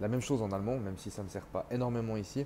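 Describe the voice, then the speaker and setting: A man with a dark, mellow tone and a medium pitch speaks at a fairly quick pace with fairly even intonation. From Switzerland (French-speaking). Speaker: entrepreneur sharing expat experience. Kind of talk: casual vlog monologue.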